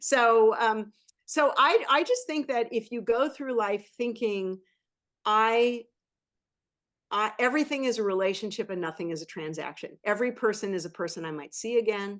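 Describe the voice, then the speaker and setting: A woman with a plain, everyday voice speaks at a moderate pace against a quiet background. Her pitch is fairly high and her intonation lively. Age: 60s. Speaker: venture capitalist. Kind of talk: interview.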